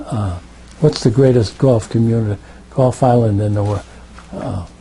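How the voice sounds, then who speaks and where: With an American accent, a man delivers his words at a medium pitch and a moderate pace, showing ordinary pitch variation against noticeable background noise. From Connecticut, New Britain. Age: 80s+. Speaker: war veteran. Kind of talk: oral history interview. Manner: halting, repeats words.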